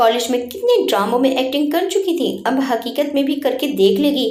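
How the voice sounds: A woman speaks at a fairly quick pace in a high voice with lively intonation and a slightly mellow tone.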